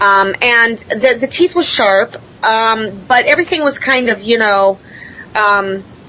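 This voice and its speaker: A woman's fairly high, lively voice at a fairly slow pace, loudness very even, with noticeable background noise. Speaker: contact experiencer. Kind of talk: panel discussion. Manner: halting.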